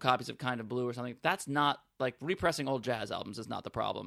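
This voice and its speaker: With an American accent, a man talks at a very fast pace in a bright, sharp tone. The recording is very clean, with a silent background. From New York City, Manhattan. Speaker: stand-up comedian. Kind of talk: casual chat.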